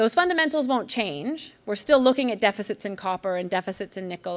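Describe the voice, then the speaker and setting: The recording is very clean with a silent background. A woman talks at a fairly quick pace with ordinary pitch variation. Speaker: newsletter publisher, investment speaker. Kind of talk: conference presentation. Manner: fast.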